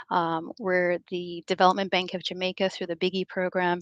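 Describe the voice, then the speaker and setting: A woman at a medium pitch and a moderate pace, with a dry, close sound with no echo and a quiet background. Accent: American. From US, of Belizean heritage. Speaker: development bank specialist. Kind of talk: conference talk. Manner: many filler words (um, uh).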